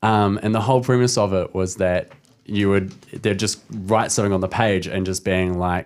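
A man with a New Zealand accent speaks at a moderate pace in a fairly low voice with fairly even intonation. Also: very clean recording, silent background. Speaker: comedian. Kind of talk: casual chat. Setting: studio.

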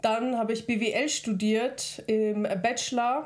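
Using an ordinary speaking voice, she talks with fairly even intonation at a fairly high pitch. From Germany, Regensburg (Bavaria); born in Kazakhstan. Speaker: podcast co-host. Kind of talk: casual chat.

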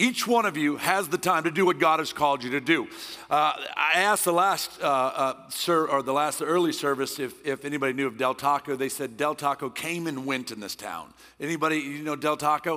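A man talks loudly at a fairly quick pace with a bright, sharp tone. His pitch is fairly high, with ordinary variation. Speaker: guest preacher. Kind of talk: sermon. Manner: intense, passionate.

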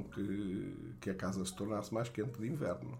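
Using lively intonation, a man talks at a fairly low pitch and a fairly slow pace, with vocal fry. Audible room echo is present. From Portugal, Beira Baixa (Fundão). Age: 60s. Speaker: storyteller recounting his childhood. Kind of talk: memoir narration. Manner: halting, many fillers.

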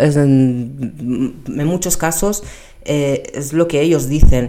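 Very deep, low pitch from a woman, the tone dark and mellow. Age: 30s. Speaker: personal trainer and pilates instructor. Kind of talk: casual monologue. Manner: halting, many fillers and repetitions.

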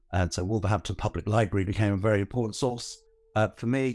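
This man speaks with a London accent. His pitch is fairly low, and his intonation is lively. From northwest London. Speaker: heritage organisation founder and author. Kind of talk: casual interview.

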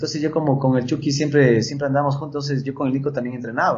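This man's voice is somewhat breathy and fairly high-pitched, with fairly even intonation. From Ecuador, Quito. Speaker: motocross rider. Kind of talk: casual chat. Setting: studio.

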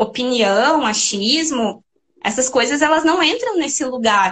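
Her pitch shifts in an ordinary way. The woman's pace is fairly slow. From Rio Grande do Sul, Brazil (Serra Gaúcha). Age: 30s. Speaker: doctoral researcher in education. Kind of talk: interview.

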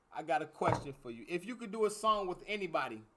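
A man talks in an animated tone with lively intonation. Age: 30s. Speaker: podcast host. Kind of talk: casual chat.

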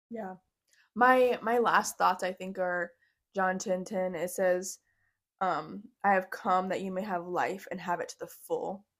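In a plain, everyday voice, a woman speaks at a fairly slow pace and medium pitch with fairly even intonation, on a very clean recording with a silent background. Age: 20s. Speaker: nurse. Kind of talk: casual chat.

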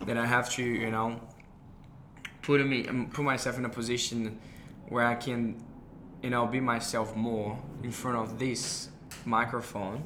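A man with a Brazilian accent and a medium pitch, fairly slow and flat in monotone, with long, frequent pauses. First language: Portuguese. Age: 20s. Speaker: podcast host. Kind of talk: casual conversation, podcast intro. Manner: hesitant, fillers.

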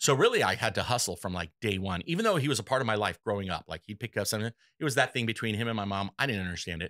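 A man's animated, bright, sharp voice at fairly low pitch, very fast with hardly any pauses, dry and close with no echo on a very clean recording with a silent background. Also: ordinary pitch variation. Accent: American. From Los Angeles, California. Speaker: electrical contractor. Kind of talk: interview.

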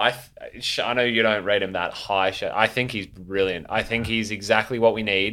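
A man speaks in an unremarkable speaking voice, keeping to a moderate pace. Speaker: podcast co-host. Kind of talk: casual banter.

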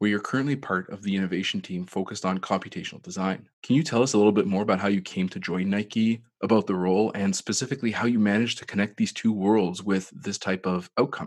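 Over a quiet background, a man with a fairly low pitch speaks at a very fast pace with hardly any pauses and ordinary pitch variation. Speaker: podcast host. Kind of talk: interview.

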